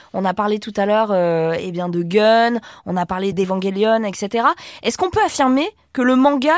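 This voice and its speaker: A woman with a normal speaking voice talks at a fairly high pitch with lively intonation. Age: 50s. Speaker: podcast host. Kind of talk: studio discussion.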